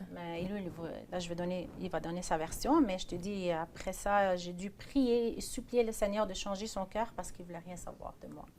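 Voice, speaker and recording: A woman with a plain, everyday voice talks at a moderate pace and medium pitch with ordinary pitch variation, hardly any pauses and big swings in loudness. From Iraq (Baghdad). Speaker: pastor's wife. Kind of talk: testimony.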